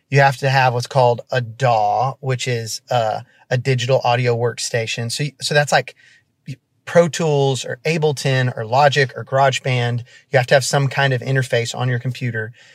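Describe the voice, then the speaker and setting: Somewhat breathy and monotone, a man speaks with flat intonation at a moderate pace. The recording is very clean with a silent background, and the sound is dry and close with no echo. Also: medium pitch for a man. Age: 30s. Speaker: worship leader and co-pastor. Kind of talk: casual interview.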